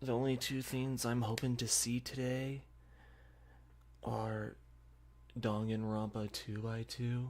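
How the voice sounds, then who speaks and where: The soft-spoken voice moves at a very slow pace with long, frequent pauses. Its intonation stays monotone and flat. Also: man, medium pitch for a man. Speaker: streamer reacting to a game showcase. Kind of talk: live stream reaction, casual. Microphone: audio setup still being figured out, may sound bad.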